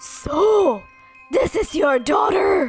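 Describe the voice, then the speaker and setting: Someone performs a put-on character voice with faint music playing in the background. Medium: read story. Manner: roaring, threatening.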